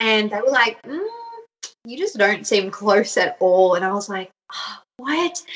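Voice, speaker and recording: With an Australian accent, a woman speaks at a fairly high pitch and a fairly slow pace, her intonation lively, her loudness swinging widely, and her speech marked by long, frequent pauses. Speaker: mother sharing birth story. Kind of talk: personal storytelling interview.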